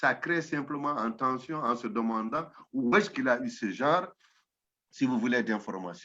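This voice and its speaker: A man speaks at a moderate pace with lively intonation and a bright, sharp tone. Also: medium pitch for a man. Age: 60s. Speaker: professor, anthropologist. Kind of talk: interview.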